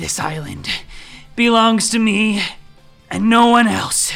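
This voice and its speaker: A female-sounding put-on character voice at a fairly high pitch moves at a fairly slow pace, with faint music in the background. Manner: weak mumbling.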